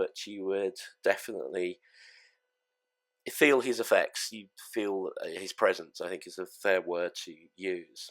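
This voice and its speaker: Someone speaks at a fairly slow pace in an English accent, in a very clean recording with a silent background. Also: man. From England. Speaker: gaming fleet leader. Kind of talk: memorial speech. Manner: halting.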